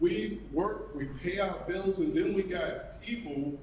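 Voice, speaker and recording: Amid audible room echo, a man with a New York accent speaks at a fairly slow pace with lively intonation. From New York City. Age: 60s. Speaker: retired firefighter, community member. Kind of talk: public comment at a panel event.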